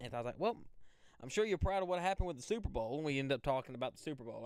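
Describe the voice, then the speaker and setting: A man speaks with an Alabama accent. His pitch variation is ordinary. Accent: Southern US (Alabama). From US South, Central Alabama. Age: 20s. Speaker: storm chaser and weather livestreamer. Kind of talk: casual live stream chat with viewers. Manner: casual, conversational.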